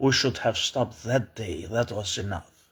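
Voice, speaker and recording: A man with an Albanian accent speaks with ordinary pitch variation on a very clean recording with a silent background. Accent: foreign accent, Albanian. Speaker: political commentator. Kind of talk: opinion monologue. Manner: halting, many fillers and restarts.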